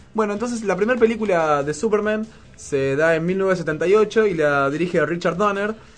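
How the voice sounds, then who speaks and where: A man with a high pitch speaks at a moderate pace, his pitch varying in an ordinary way. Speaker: radio host. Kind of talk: casual radio chat.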